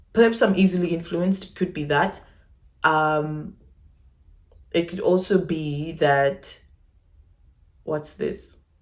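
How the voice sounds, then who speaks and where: A woman speaks at a very slow pace in a fairly low pitch. Her pitch variation is ordinary. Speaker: YouTuber. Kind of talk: personal vlog. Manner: casual.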